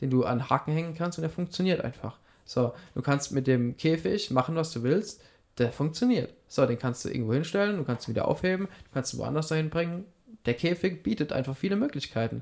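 A normal speaking voice at a fairly quick pace, with lively intonation. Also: man, fairly high pitch for a man. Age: 20s. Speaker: shopfitting entrepreneur in family business. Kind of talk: casual interview.

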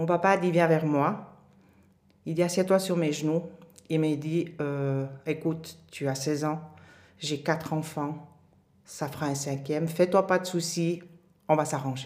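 Using a very deep, low pitch and flat, monotone intonation, a woman speaks at a very slow pace with long, frequent pauses. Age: 50s. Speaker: mother sharing her life story. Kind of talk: interview testimony.

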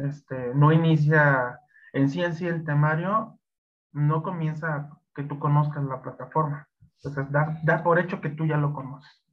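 A man with a fairly high pitch speaks at a fairly slow pace, somewhat breathy, with fairly even intonation. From Mexico. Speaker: Excel instructor. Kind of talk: interview. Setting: live stream. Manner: halting, many fillers.

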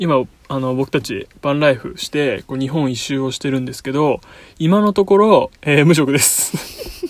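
A man at a fairly high pitch and a moderate pace, with ordinary pitch variation and big swings in loudness. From Kanagawa, Shonan area, Japan. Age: 20s. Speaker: podcast host. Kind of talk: casual chat. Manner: hesitant, filler-heavy.

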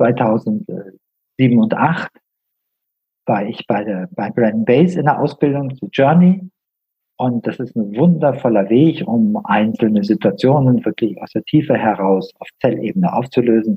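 A man's medium-pitched, somewhat breathy voice at a fairly slow pace, with lively intonation and big swings in loudness. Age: 60s. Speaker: healer and coach, former engineer. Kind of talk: interview.

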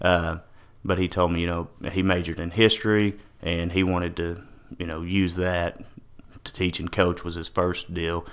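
A man with a Texan accent speaks at a moderate pace with long, frequent pauses, his pitch very deep and low. His intonation is monotone and flat, in a very clean recording with a silent background. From Texas, Paris. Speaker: teacher and coach. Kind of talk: casual chat.

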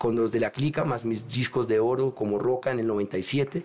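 A man uses an ordinary speaking voice, moving at a fairly slow pace with ordinary pitch variation. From Paris, France, Colombian parents. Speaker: rapper. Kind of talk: casual chat.

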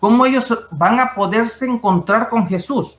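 A man's high-pitched voice. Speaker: IT expert and writer. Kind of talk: interview testimony. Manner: hesitant, many fillers.

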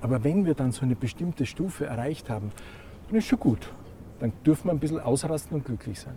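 Very fast and full of long, frequent pauses, this man's medium-pitched voice carries a dark, mellow tone, vocal fry, and lively intonation. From Austria, Graz. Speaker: meaning and values coach, former monk and priest. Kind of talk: interview.

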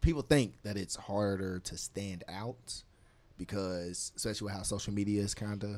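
A man's fairly low-pitched voice at a moderate pace with fairly even intonation. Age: 20s. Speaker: podcast co-host. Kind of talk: casual chat.

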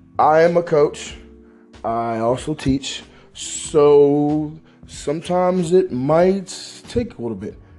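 A man speaks very slowly while music plays behind him. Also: fairly high pitch for a man, lively intonation. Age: 20s. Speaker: graduate student and aspiring blogger. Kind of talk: casual vlog monologue.

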